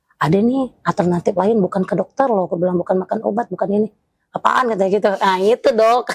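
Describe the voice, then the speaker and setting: A woman speaks at a very fast pace and a medium pitch, with very even loudness. The sound is dry and close, with no echo. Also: ordinary pitch variation. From Batak, North Sumatra, Indonesia. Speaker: interviewee sharing fertility journey. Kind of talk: interview testimony.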